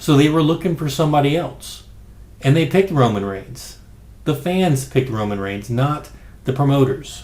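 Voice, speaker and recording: A man with a fairly high pitch speaks at a moderate pace, somewhat breathy and with lively intonation. Room echo is audible. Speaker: wrestling podcast host. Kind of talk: casual commentary monologue. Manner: quiet, low-key.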